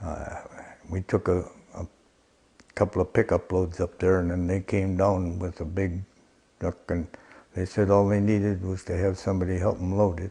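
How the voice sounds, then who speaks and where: A man speaks in a very deep, low voice with a dark, mellow tone, somewhat breathy and monotone, with long, frequent pauses. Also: moderate pace. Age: 80s+. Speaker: recycling volunteer. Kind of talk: interview answer. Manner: hesitant.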